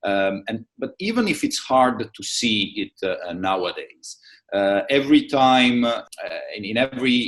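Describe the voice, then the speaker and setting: A man with a strong Italian accent, speaking at a fairly slow pace. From Italy. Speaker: trade show managing director. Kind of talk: interview. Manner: halting, many fillers.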